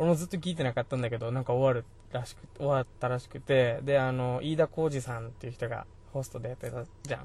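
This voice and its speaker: A man's very fast speech at a medium pitch, fairly even in intonation but with big swings in loudness. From Okinawa, Japan. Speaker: podcast host. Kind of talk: casual chat. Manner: casual, conversational.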